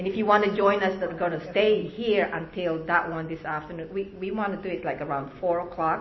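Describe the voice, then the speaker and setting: A woman with fairly low pitch talks at a moderate pace in an unremarkable speaking voice. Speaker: congregation member giving announcements. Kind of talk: announcements and prayer. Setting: congregation worship service.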